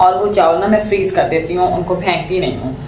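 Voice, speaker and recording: A woman's fairly low voice with fairly even intonation, amid noticeable background noise and audible room echo. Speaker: home vlogger. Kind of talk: casual vlog chat with cooking. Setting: home kitchen during rain.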